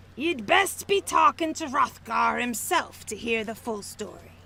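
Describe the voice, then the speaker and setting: A female-sounding voice uses a put-on character voice pitched high. The pace is moderate. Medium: fan dub. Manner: blunt, hearty.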